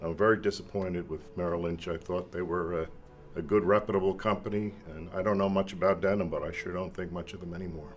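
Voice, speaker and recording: A man speaks very fast in a very deep, low voice with flat, monotone intonation over noticeable background noise. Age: 60s. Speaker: shareholder. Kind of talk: shareholder meeting remarks.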